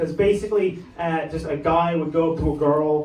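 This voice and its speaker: Moderate pacing from a man pitched fairly high, with clear background noise and echo from the room. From Ireland, Dublin. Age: 20s. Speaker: stand-up comedian. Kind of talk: stand-up. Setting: comedy club stage with audience. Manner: halting, filler words.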